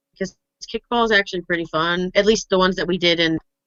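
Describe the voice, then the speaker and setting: This is an unremarkable speaking voice at a fairly quick pace. Its intonation is fairly even. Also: woman. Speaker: artist streamer. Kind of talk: casual chat.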